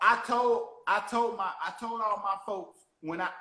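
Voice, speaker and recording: A high-pitched man with a Southern US accent and ordinary pitch variation. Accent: country, Southern drawl. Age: young. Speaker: motivational speaker and podcast host. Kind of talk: casual chat.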